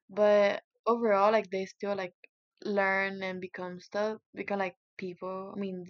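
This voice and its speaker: A woman in a Spanish accent with monotone, flat intonation and a fairly slow pace, in a dry, close sound with no echo. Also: medium pitch for a woman. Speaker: interviewee, Cuban immigrant. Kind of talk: interview. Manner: halting, many fillers.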